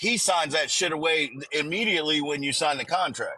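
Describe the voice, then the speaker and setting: A man speaks loudly. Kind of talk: casual chat.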